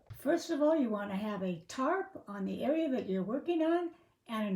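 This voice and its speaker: A woman's dark, mellow, somewhat breathy voice moves at a moderate pace with very wide pitch swings. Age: 70s. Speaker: lifestyle vlogger. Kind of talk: tutorial. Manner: casual, chatty.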